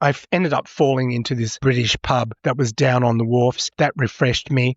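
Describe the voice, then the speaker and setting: Moving at a moderate pace, a man with an Australian accent speaks at a medium pitch with fairly even intonation. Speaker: podcaster. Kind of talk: casual monologue. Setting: hotel room.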